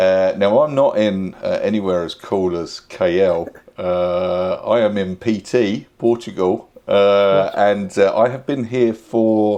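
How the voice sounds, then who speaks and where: In a British accent, a man speaks very slowly with a dark, mellow, fairly low voice and ordinary pitch variation. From UK. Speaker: expat YouTuber. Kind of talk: casual chat. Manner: halting.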